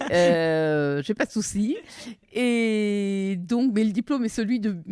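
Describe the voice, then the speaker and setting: At a very slow pace, a woman talks with lively intonation at a medium pitch. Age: 60s. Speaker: forestry worker, former pharma executive. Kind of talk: interview testimony.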